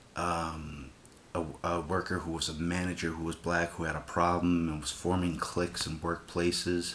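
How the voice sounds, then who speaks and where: A quiet, very deep, low male voice with a bright, sharp tone and monotone, flat intonation. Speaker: vlogger. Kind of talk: casual vlog rant. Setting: home at night. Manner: kept quiet, subdued.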